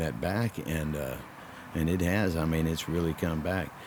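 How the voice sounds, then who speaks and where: Noticeable background noise is present throughout. Over it, a man talks in a very deep, low pitch. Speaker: professional wrestler. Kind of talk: interview answer.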